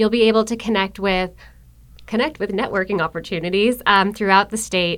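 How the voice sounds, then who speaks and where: A woman talks in a normal speaking voice at a medium pitch with ordinary pitch variation. The recording is very clean, with a silent background. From Buffalo, New York. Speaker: economic development marketer for a utility. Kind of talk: podcast interview. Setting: studio in a business innovation building.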